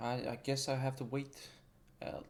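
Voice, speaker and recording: A non-native accent at a moderate pace. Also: man. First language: not English. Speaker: gaming YouTuber. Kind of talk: casual rant over gameplay. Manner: halting, many fillers and restarts.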